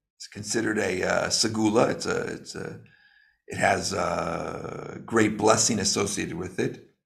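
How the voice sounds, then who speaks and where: A man's fairly low, somewhat breathy voice at a fairly slow pace, with big swings in loudness and audible room echo. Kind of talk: lecture. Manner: slow, deliberate; halting, many fillers.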